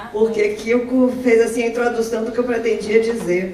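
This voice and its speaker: A woman with a fairly high pitch speaks at a moderate pace, with noticeable background noise and audible room echo. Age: 70s. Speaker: retired professor and volunteer speaker. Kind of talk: testimony talk at an event. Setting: event with audience. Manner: halting, with repetitions.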